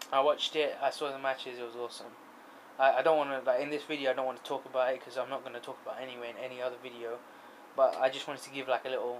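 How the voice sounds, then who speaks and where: Light background noise sits behind a man speaking at a very fast pace. His intonation is flat and monotone. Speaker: vlogger. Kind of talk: casual vlog chat. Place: home room. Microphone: phone near.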